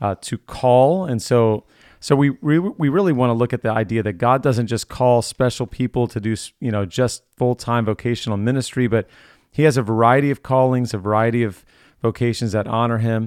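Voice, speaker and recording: A man speaks at a medium pitch in a plain, everyday voice, with fairly even intonation at a moderate pace. The sound is dry and close, with no echo. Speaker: podcast host. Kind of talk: casual interview. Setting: video call.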